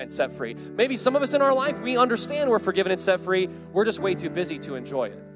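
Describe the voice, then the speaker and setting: Over clear background music, the voice moves at a very fast pace with big swings in loudness, the sound dry with no echo. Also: man. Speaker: preacher. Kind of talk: sermon. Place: hall. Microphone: handheld.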